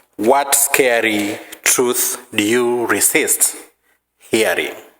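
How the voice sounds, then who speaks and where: A man speaks at medium pitch with fairly even intonation. Audible room echo surrounds his voice. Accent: Kenyan. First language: Maragoli. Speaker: preacher. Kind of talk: sermon.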